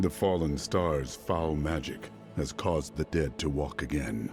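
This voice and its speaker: With clear music in the background, a man performs a put-on character voice. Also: moderate pace. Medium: video game. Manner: terse, stern.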